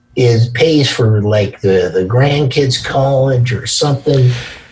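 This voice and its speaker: Through audible room echo and noticeable background noise, a man talks with an American accent. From California. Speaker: podcast guest, insurance client. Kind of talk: casual interview chat.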